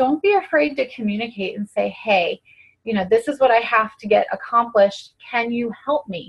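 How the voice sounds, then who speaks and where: The speaker sounds somewhat breathy and moves at a fairly slow pace. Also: woman. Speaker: fitness coach. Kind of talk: team conference call talk.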